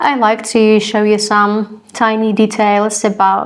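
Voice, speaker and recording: With an Eastern European accent, a woman speaks at a fairly high pitch. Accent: Slavic (Eastern European) accent in English. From Slavic-speaking country. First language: a Slavic language. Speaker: cross stitch vlogger. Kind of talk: casual vlog talk to camera. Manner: halting, many fillers and repeats.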